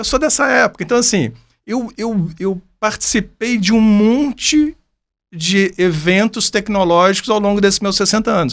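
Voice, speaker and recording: Speaking at a fairly slow pace, a man with a high pitch is heard in a very clean recording with a silent background. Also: ordinary pitch variation. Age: 60s. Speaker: business mentor. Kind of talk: podcast conversation.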